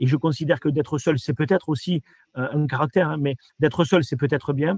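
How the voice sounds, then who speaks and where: Somewhat breathy, a man talks at a fairly quick pace and a fairly high pitch, with ordinary pitch variation. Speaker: franchise company director. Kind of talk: interview. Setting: virtual trade fair interview. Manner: halting, many repetitions and fillers.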